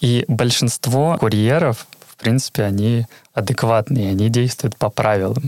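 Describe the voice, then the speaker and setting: This man has an unremarkable speaking voice at a medium pitch with ordinary pitch variation, recorded with a dry, close sound and no echo. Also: fairly slow pace, very even loudness. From Karelia, Petrozavodsk. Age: 20s. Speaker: QA tester. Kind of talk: casual interview chat.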